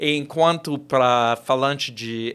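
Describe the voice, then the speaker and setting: A man speaks with an American accent at a medium pitch. His pace is very slow. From US South (Georgia). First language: English (speaking Portuguese). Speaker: professor. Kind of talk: interview. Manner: halting, many fillers.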